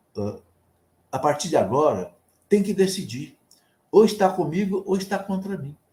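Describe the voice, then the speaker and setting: With a dark, mellow tone and high pitch, a man talks at a moderate pace, showing ordinary pitch variation, big swings in loudness, and long, frequent pauses. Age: 70s. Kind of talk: sermon. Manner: conversational.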